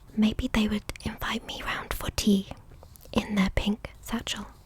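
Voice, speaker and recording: Whispering very slowly in a British accent, the speaker is heard over noticeable background noise. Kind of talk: ASMR picture-book reading. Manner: soft-spoken.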